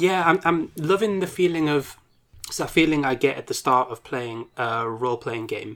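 This is a man with an ordinary speaking voice, fairly high in pitch, at a moderate pace. His intonation is lively, his loudness swings widely, and the recording is very clean over a silent background. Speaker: podcast co-host. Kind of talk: casual chat. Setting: home recording with window open.

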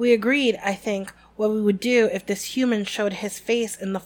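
Text read in a natural reading voice

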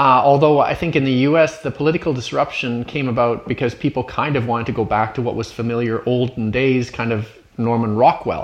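A man speaks in an ordinary speaking voice with a Canadian accent. His pace is moderate and his pitch variation ordinary. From Canada. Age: 50s. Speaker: podcast host. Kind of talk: interview.

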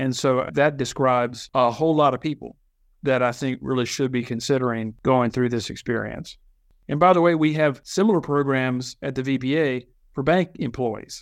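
A man with an American accent has an unremarkable speaking voice at a medium pitch. He talks at a moderate pace with ordinary pitch variation. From Virginia. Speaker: association executive. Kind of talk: interview.

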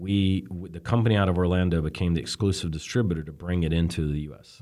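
A man with an Alabama accent speaks at a fairly quick pace in a very deep, low pitch and a dark, mellow tone. The recording is very clean with a silent background. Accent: Southern US (Alabama). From US South, Birmingham, Alabama. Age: 40s. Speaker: telecom executive. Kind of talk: interview.

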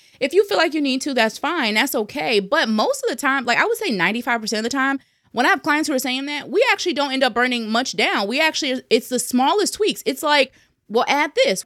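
A woman with an American accent speaks at a very fast pace in a high, bright, sharp voice, her pitch swinging very widely. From New Jersey. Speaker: sales messaging and mindset coach. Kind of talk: casual interview.

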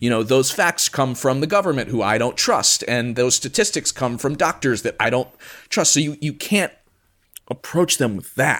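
A man with an American accent uses a normal speaking voice at medium pitch. He speaks at a moderate pace with lively intonation. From US Midwest, Chicago suburbs. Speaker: podcast host and conspiracy researcher. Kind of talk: casual interview conversation.

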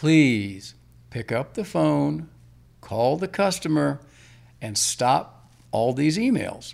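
A man with an American accent speaks very slowly at a medium pitch, his voice swinging very widely up and down and broken by long, frequent pauses. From Northern Virginia, US. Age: 60s. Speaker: mortgage lender. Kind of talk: interview. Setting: studio.

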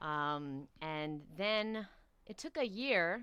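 A woman speaks at a fairly low pitch with a New York accent. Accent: New York American. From New York City. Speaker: raw vegan coach and author. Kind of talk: interview.

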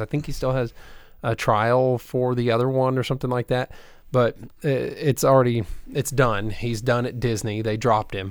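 Over a very clean recording with a silent background, a man talks at a moderate pace and medium pitch with fairly even intonation, in an ordinary speaking voice. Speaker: podcast co-host. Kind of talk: casual chat.

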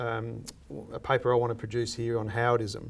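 A man with an Australian accent at a moderate pace, on a very clean recording against a silent background. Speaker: lecturer and former political adviser. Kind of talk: interview.

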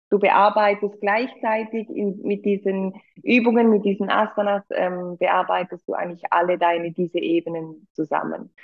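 Intonation stays fairly even as a woman speaks at a medium pitch. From Switzerland. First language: Swiss German (speaking German). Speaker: yoga teacher. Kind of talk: casual chat.

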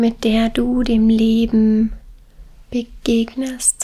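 Her voice has a gentle, warm tone at a fairly high pitch. The woman's intonation stays monotone and flat. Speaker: meditation guide. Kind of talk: guided meditation. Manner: slow, soothing, calm; gentle, warm, with long pauses.

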